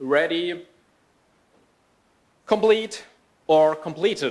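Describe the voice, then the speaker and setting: A man speaks with a German accent and a high pitch. His pitch varies in an ordinary way, and his pace is very slow. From Germany. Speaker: software developer trainer and speaker. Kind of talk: conference talk.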